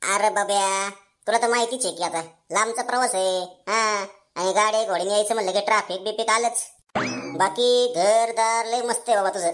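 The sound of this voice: A woman puts on a cartoonish character voice. It sits at a medium pitch. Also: moderate pace.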